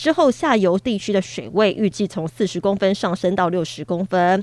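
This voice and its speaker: On a very clean recording with a silent background and a dry, close sound with no echo, a woman with a Taiwanese accent speaks at a moderate pace in a medium pitch with ordinary pitch variation. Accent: Taiwanese Mandarin. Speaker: news anchor. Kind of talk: news reading. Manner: formal.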